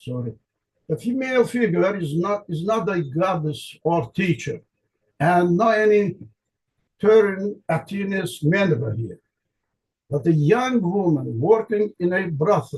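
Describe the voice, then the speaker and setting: A man with an Azerbaijani accent, high-pitched and lively in intonation, at a fairly slow pace broken by long, frequent pauses. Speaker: linguistics researcher. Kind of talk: conference lecture. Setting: conference presentation. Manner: halting, with self-corrections.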